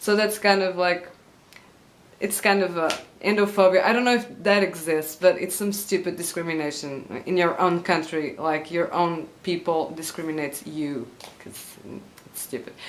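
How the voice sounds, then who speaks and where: With audible room echo and noticeable background noise, the speaker goes at a moderate pace with ordinary pitch variation and big swings in loudness. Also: woman, fairly low pitch for a woman. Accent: Portuguese. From Portugal. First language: Portuguese. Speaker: YouTuber. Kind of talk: vlog monologue. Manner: halting with many fillers.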